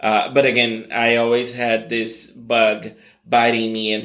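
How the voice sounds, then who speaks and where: There's audible room echo and noticeable background noise as a man talks with monotone, flat intonation. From Brazil. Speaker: marketing executive. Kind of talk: interview.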